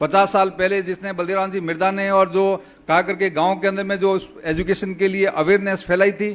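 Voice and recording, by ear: Little pitch movement at a moderate pace. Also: man, high pitch for a man.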